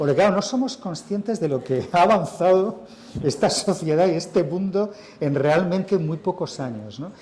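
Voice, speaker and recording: A man with a Madrid accent talks at a moderate pace, his pitch high and his intonation lively. Noticeable background noise runs beneath his voice. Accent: central Spain (Madrid) Spanish. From Spain, Madrid. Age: 60s. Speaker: writer and journalist. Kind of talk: interview at a literary festival. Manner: conversational, with false starts and fillers.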